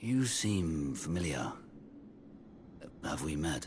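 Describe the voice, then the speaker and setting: Over clear background noise, a man in a put-on character voice speaks very slowly with a very deep, low pitch. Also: lively intonation. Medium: video game.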